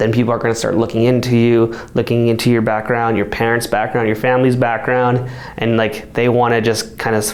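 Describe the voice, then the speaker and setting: A man in an American accent, at a fairly quick pace with fairly even intonation and very even loudness, amid audible room echo and noticeable background noise. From Colorado, US. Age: young. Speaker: mayor and teacher. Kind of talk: interview. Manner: casual, with fillers.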